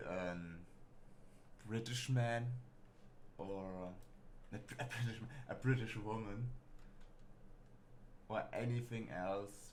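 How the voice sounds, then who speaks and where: A man with a German accent, fairly low in pitch and fairly slow in pace, with audible room echo. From Germany. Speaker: gaming streamer. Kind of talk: casual let's play commentary. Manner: halting.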